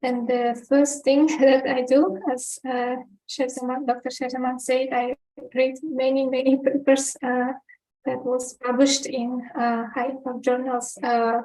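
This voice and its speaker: A woman with a non-native accent speaks at a high pitch. Her monotone, flat intonation comes at a fairly slow pace. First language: not English. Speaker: research analyst. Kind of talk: webinar talk. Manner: halting, with many fillers.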